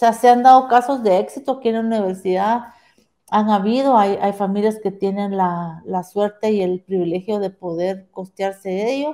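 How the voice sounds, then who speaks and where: A woman with a medium pitch and ordinary pitch variation speaks at a moderate pace in an ordinary speaking voice. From Guatemala. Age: 50s. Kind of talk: interview conversation.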